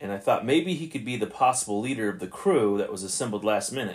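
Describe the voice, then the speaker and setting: Here is a man with a plain, everyday voice at a medium pitch. He speaks at a fairly quick pace with lively intonation. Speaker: podcast host. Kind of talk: podcast commentary on old radio episodes. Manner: casual, conversational, thinking aloud.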